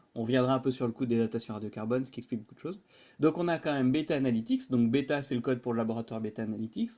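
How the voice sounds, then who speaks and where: A man speaks very fast in a dark, mellow tone. His pitch varies in an ordinary way. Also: medium pitch for a man, very clean recording, silent background. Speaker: university lecturer. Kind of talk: lecture. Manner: casual.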